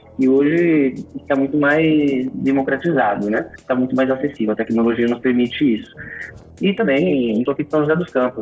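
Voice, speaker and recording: A man talks at a moderate pace and medium pitch with ordinary pitch variation while music plays in the background. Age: 30s. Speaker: startup founder and CEO. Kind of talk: interview.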